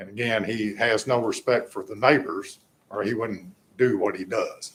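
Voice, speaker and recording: His voice comes across somewhat breathy. This man speaks at a medium pitch. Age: 70s. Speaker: resident speaking at public comment. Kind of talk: public comment at council meeting.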